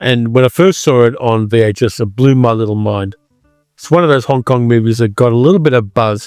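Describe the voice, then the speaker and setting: A man with an Australian accent talks at a fairly quick pace in a medium pitch. Music plays in the background. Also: ordinary pitch variation. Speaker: film reviewer. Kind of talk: casual talk to camera.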